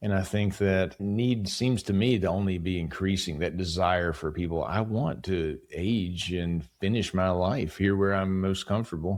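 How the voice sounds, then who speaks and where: A man with an American accent speaks at a moderate pace with a very deep, low pitch and hardly any pauses. His intonation is fairly even and his loudness very even. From West Virginia, Appalachia. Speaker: home care company leader. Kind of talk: podcast interview.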